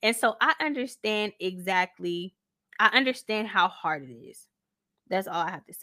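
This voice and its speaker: Lively intonation carries a bright, sharp tone. The sound is dry and close with no echo, on a very clean recording with a silent background. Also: woman. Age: 20s. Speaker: faith podcast host. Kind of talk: casual faith talk.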